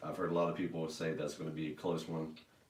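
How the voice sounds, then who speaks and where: Audible room echo surrounds a man whose voice sits very deep and low. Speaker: podcast host. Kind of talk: casual podcast chat. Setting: live stream.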